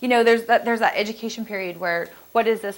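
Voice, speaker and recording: Fairly even intonation from a female speaker. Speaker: product manager presenting at a business seminar. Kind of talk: conference presentation; audience Q&A. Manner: fast.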